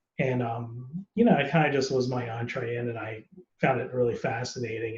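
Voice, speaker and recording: Speaking at a moderate pace in an American accent, a man has a medium pitch, ordinary pitch variation and a somewhat breathy voice. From United States. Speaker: actor. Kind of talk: casual interview.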